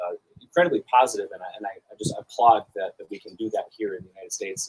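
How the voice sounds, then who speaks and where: Very fast speech comes from a man with a slight North Dakota accent. The sound is dry and close, with no echo. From North Dakota (Arthur). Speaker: award presenter at a cybersecurity summit. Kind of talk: award speech. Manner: halting, many fillers.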